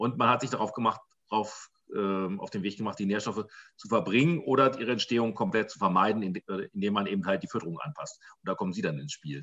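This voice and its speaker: Talking at a very fast pace, a man with a fairly low pitch makes big swings in loudness. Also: ordinary pitch variation. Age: 50s. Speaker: farmer and farmers' association president. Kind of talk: interview. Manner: halting, many fillers.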